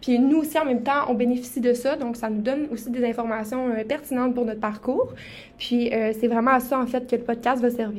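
Speaking with a Saguenay accent, a woman talks fairly quickly in a high pitch with monotone, flat intonation. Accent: Québécois French (Saguenay). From Quebec, Saguenay-Lac-Saint-Jean. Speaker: podcast co-host, medical student. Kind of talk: casual podcast introduction.

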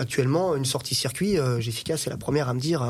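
In a very clean recording with a silent background, a man speaks very fast at a medium pitch, somewhat breathy, with ordinary pitch variation. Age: 30s. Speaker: car mechanic and dealer. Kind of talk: casual chat.

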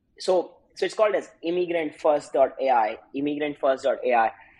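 A man's fairly high voice with an Indian accent, ordinary pitch variation, and a moderate pace. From India, Uttar Pradesh. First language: Hindi. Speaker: startup founder. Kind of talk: interview.

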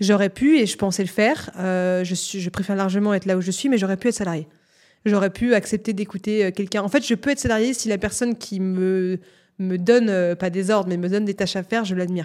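A woman with a plain, everyday voice speaks at a medium pitch and a fairly quick pace, with fairly even intonation. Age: 20s. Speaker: media entrepreneur and journalist. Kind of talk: casual interview.

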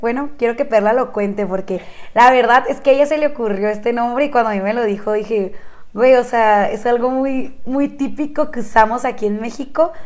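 The voice carries a northern Mexican accent, with a moderate pace and ordinary pitch variation. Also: woman. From Chihuahua, northern Mexico. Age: 20s. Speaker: podcast co-host. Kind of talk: casual chat.

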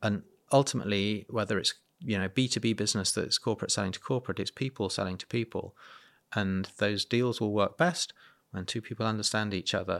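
On a very clean recording with a silent background, a man speaks at a fairly low pitch and a fairly quick pace, the sound dry and close with no echo. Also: ordinary pitch variation. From UK. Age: 50s. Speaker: entrepreneur and children's welfare campaigner. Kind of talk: interview conversation. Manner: halting with frequent repetitions.

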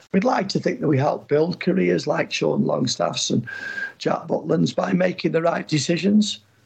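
A man speaks at a moderate pace with very even loudness. There is noticeable background noise. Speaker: football agent. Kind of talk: interview.

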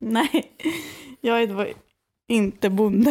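Ordinary pitch variation in a woman's fairly high voice, on a very clean recording against a silent background. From western Sweden (Skara, Västergötland). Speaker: podcast co-host. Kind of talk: casual chat.

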